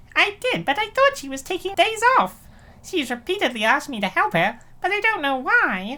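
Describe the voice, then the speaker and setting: A squeaky, put-on character voice swings very widely in pitch. It also has big swings in loudness, at a moderate pace. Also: woman, extremely high pitch for a woman. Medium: fan dub. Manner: hesitant, defensive.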